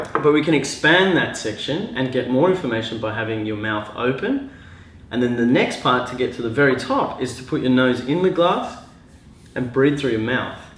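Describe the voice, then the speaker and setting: With an Australian accent, a man of medium pitch speaks at a moderate pace with ordinary pitch variation, amid audible room echo and noticeable background noise. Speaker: glassware designer and mechanical engineer. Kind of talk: casual tutorial. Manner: halting, many fillers.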